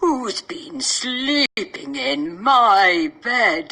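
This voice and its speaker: Putting on a character voice, a woman growls at a high pitch with very wide pitch swings. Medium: cartoon.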